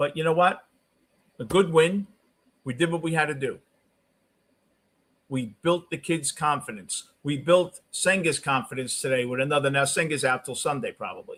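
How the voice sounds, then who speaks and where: A Brooklyn-accented man at a fairly high pitch for a man, with ordinary pitch variation, a moderate pace and long, frequent pauses. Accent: New York (Brooklyn). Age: 60s. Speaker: sports talk streamer. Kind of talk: live postgame stream talk, reading chat. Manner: casual, conversational.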